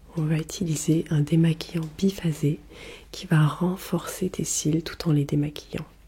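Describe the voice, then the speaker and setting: Very slow and somewhat breathy, a woman's fairly low-pitched voice has a dark, mellow tone. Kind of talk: ASMR role play skincare routine. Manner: soft-spoken, slow.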